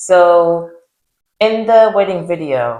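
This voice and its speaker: In a Zimbabwean accent, a woman speaks with a very deep, low pitch. Her pitch varies in an ordinary way. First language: Shona. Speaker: YouTuber. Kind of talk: casual chat.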